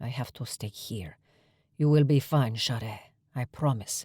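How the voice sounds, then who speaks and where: A man speaks at a moderate pace and medium pitch in a put-on character voice. The recording is very clean, with a silent background. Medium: read story. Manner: calm, reassuring.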